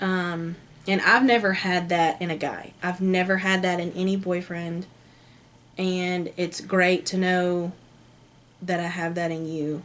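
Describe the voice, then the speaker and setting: A woman speaks at a fairly slow pace in a medium pitch, her intonation flat and monotone. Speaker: lifestyle vlogger. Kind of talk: casual chat. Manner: loud.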